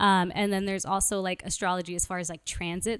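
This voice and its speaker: An ordinary speaking voice with an American accent, dry and close with no echo, on a very clean recording with a silent background. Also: woman. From Brooklyn, New York. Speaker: podcast guest, married to co-guest. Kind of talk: casual chat.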